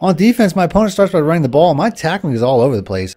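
With music in the background, a man talks at a very fast pace, his pitch swinging very widely. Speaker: gaming YouTuber. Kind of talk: gameplay commentary and tutorial. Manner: animated.

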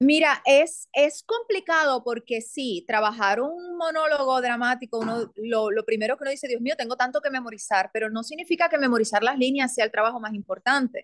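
A woman's high-pitched voice at a fairly quick pace with hardly any pauses, ordinary pitch variation and a quiet background. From Puerto Rico. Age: 40s. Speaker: actress and theatre producer; actress. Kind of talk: interview conversation. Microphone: video call.

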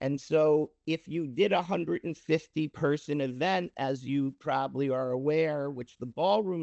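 In a normal speaking voice, the speaker moves at a fairly slow pace with ordinary pitch variation. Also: man. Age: 60s. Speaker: prospective business owner presenting to board. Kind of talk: public meeting presentation.

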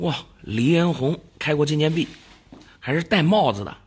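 A man with a fairly high pitch and a somewhat breathy, animated tone speaks at a moderate pace with very wide pitch swings. The recording is very clean, with a silent background. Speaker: silver and antiques appraiser and dealer. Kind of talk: casual appraisal chat with customers. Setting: shop, face to face with sellers. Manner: animated, exclamatory.

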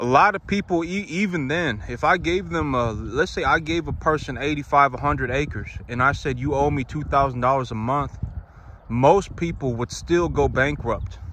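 A man speaks at a moderate pace in a bright, sharp tone with vocal fry. The sound is dry with no echo, over light background noise. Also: ordinary pitch variation. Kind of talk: casual vlog chat. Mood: earnest, reflective. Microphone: phone near.

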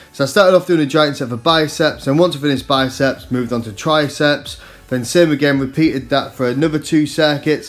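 Music plays in the background as a man speaks. His pace is moderate and his pitch variation ordinary. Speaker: fitness vlogger. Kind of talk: casual vlog narration.

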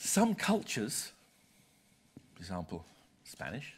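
In a British accent, a man at a medium pitch talks at a fairly slow pace with vocal fry, very wide pitch swings, and long, frequent pauses. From Britain. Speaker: senior journal publisher; visiting publisher lecturer. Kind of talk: lecture. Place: hall.

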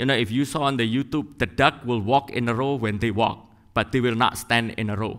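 A man's bright, sharp tone at a moderate pace against a quiet background. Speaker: church member preaching. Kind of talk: sermon. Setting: church. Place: church. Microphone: headset.

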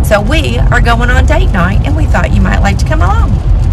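A woman talks at a fairly quick pace. Loud background noise fills the recording. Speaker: vlogger. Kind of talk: casual vlog chat. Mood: upbeat, excited. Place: car. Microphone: phone near.

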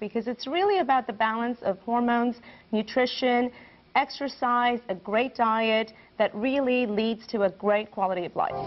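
The woman's voice is fairly high with ordinary pitch variation. Her pace is moderate. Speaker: physician. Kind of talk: interview answer.

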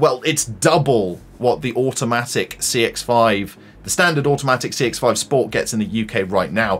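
The pace of this man's talking is moderate. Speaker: car reviewer. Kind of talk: commentary reacting to web page.

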